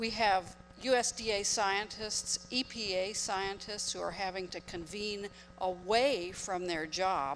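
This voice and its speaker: A plain, everyday voice belongs to this woman, pitched in the middle range. She talks fairly slowly, and her pitch shifts in an ordinary way. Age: 60s. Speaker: audience member, attorney. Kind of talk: audience comment at Q&A.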